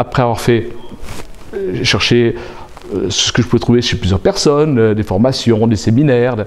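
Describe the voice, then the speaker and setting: A man speaks at a moderate pace. Noticeable background noise runs under his voice. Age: 60s. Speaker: aspiring coach. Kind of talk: interview. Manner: halting.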